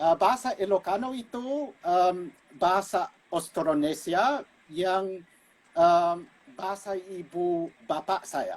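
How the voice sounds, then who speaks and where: A man speaks in a high pitch. His pace is very slow. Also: ordinary pitch variation. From United States, Filipino immigrant family. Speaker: linguist and gamelan musician. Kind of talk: casual interview. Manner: halting, many fillers.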